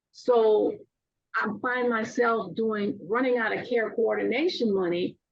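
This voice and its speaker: A woman speaks in a fairly high pitch with ordinary variation. Vocal fry runs through her voice. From Louisiana. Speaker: aging services caregiver program worker. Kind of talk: webinar presentation Q&A.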